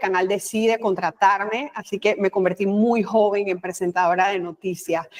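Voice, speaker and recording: Over noticeable background noise, a woman in a Panamanian accent talks at a moderate pace with ordinary pitch variation. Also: dry, close sound with no echo. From Panama, Colón. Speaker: communication expert, former news anchor and official. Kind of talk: interview.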